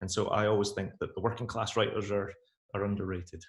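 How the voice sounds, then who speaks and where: The man's voice is somewhat breathy and sits at a medium pitch. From Scotland. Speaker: author. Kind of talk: interview.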